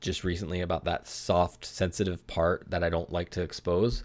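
A man with a very deep, low pitch speaks at a fairly quick pace on a very clean recording with a silent background. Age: 40s. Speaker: podcast host. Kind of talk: casual solo monologue. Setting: home studio. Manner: halting.

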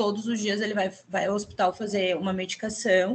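A woman's unremarkable speaking voice, medium in pitch, at a moderate pace. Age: 40s. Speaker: entrepreneur. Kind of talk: casual chat.

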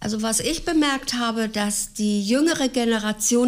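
A woman speaks at a very slow pace in a fairly high voice, with ordinary pitch variation. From Lower Saxony, Gifhorn. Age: 70s. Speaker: retiree. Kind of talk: interview.

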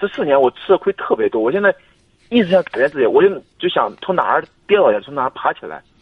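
Talking at a very fast pace, a man's loudness swings widely. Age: 20s. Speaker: caller seeking career advice. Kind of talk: phone-in advice call. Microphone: noisy line, told to speak into the mic.

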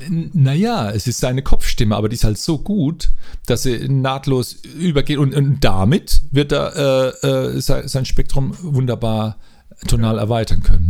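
His tone is dark and mellow at a medium pitch. This man keeps a moderate pace. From Mannheim, southwest Germany. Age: 50s. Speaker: music school director. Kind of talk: casual interview. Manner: halting, with repetitions.

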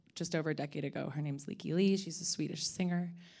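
In a fairly low voice with a dark, mellow tone and an American accent, a woman keeps her intonation fairly even. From California, Ojai. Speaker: spirits company co-founder. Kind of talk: panel discussion.

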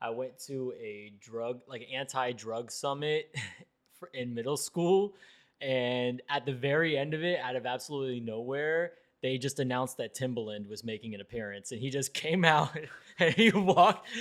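A man with an American accent uses an ordinary speaking voice at medium pitch and a moderate pace. His pitch varies in an ordinary way while his loudness swings widely. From South Florida. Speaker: podcast host. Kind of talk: casual chat.

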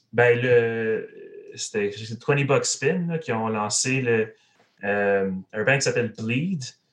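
Speech unfolds very slowly, its pitch rising and falling in an ordinary way. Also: man. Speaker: metal band musician. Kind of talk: casual chat.

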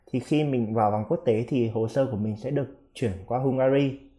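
A man speaks in a plain, everyday voice at medium pitch and a moderate pace, with ordinary pitch variation. The recording is very clean, with a silent background. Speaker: international student. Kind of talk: casual interview.

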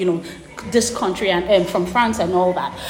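A woman speaks with audible room echo around her. Noticeable background noise runs underneath. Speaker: education consultancy founder. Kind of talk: interview.

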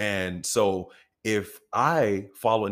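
A man with an American accent has an ordinary speaking voice. His pitch sits fairly low, with ordinary pitch variation. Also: very clean recording, silent background. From US. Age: 30s. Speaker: actor. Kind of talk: casual chat.

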